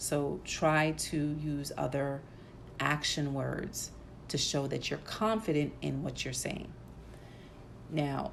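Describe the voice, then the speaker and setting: A woman's very deep, low voice at a very slow pace, with audible room echo. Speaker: podcast host. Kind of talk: solo podcast talk. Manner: many fillers uh and um.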